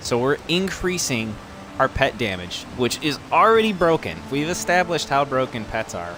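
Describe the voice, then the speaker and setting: Through noticeable background noise, a man speaks at a moderate pace with very wide pitch swings. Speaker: gaming video creator. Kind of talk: game build tutorial. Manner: animated.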